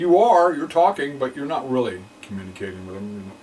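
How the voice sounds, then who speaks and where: This man talks at a fairly quick pace with lively intonation. Noticeable background noise runs behind him. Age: 60s. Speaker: film archivist sharing personal testimony. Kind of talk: testimony. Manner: halting, many fillers and repetitions.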